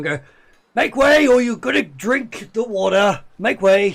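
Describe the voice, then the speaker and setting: A man's gruff, put-on character voice, high pitched, at a fairly slow pace. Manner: brusque, impatient.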